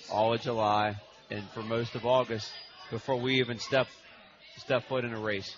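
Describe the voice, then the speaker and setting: Man at medium pitch and moderate pace, monotone and flat, with noticeable background noise. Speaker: coach. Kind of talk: casual radio interview.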